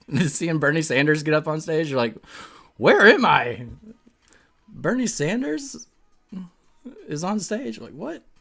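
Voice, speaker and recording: A man speaks at a fairly high pitch. Music plays in the background. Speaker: webcomic artist streaming drawing. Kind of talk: casual chat while drawing. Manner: casual, filler-heavy.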